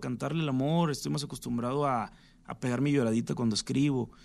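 Against a quiet background, a man with a normal speaking voice at medium pitch talks at a moderate pace with ordinary pitch variation. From Mexico, Sinaloa. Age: 30s. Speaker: singer-songwriter. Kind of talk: radio interview.

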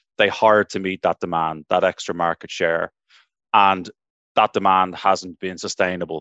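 Over a quiet background, a man with an Irish accent speaks at a moderate pace in a very deep, low, monotone voice with flat intonation and a dry, close sound with no echo. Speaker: tech recruiter. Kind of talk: panel discussion.

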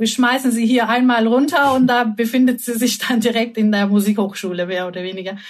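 A woman's somewhat breathy voice at a fairly high pitch. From Turkey, Istanbul. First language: Turkish (speaking German). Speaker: concert pianist and creativity consultant. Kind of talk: interview.

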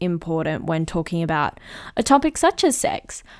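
A woman with an Australian accent, fairly slow and lively in intonation, in a dry, close sound with no echo and a very clean recording over a silent background. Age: 20s. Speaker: podcast host. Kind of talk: casual monologue. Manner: chatty.

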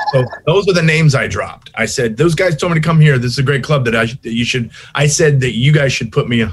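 A man with an American accent, fairly high-pitched and very fast, over noticeable background noise. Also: ordinary pitch variation. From Long Beach, California. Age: 50s. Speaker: stand-up comedian. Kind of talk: casual chat.

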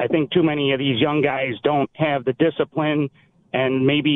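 A man with a Western New York accent speaks at a fairly quick pace. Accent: Western New York (Inland North). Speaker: caller. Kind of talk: call-in radio talk.

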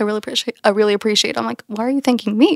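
A woman speaks with an American accent, her pitch fairly high and its variation ordinary. The sound is dry and close, with no echo. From Texas. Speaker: podcast host, immigrant. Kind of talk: casual chat.

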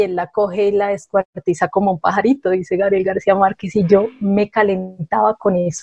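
A woman has an ordinary speaking voice at medium pitch and a moderate pace. The sound is dry and close, with no echo. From Colombia, Bogotá. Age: 40s. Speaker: writer. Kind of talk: casual chat.

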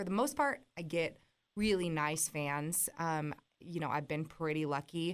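Speaking at a fairly slow pace with an American accent, the voice is unremarkable, with ordinary pitch variation. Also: woman, fairly low pitch for a woman. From US West Coast. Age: 20s. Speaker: country musician. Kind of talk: casual chat.

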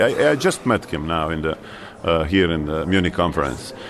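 Through noticeable background noise, a man speaks with a Bosnian accent. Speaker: foreign minister. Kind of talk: interview.

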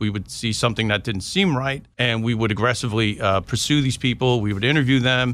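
Speaking at a very fast pace, a man with a New York accent has a bright, sharp tone and a medium pitch. His intonation is fairly even, on a very clean recording with a silent background. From New York, Long Island. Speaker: retired police intelligence officer and author. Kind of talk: interview.

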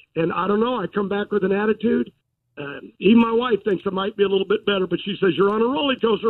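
A man delivers his words fairly quickly, his intonation fairly even. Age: 70s. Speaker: drag racing team owner. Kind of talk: casual interview. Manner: folksy, loose.

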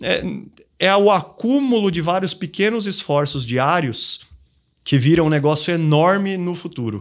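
A man's high voice at a fairly slow pace, on a very clean recording with a silent background. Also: lively intonation. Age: 40s. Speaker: financial planning educator. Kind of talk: podcast interview.

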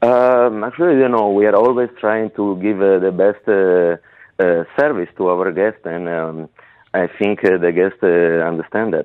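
A man with an Italian accent speaks at a fairly slow pace in a very deep, low voice, with ordinary pitch variation and hardly any pauses. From Piedmont, northern Italy. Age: 30s. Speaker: head chef. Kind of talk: interview. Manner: relaxed.

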